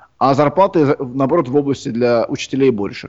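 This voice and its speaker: An ordinary speaking voice from a man, fairly high in pitch, with ordinary pitch variation at a moderate pace. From Uzbekistan, Tashkent. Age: young. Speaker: composer. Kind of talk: interview.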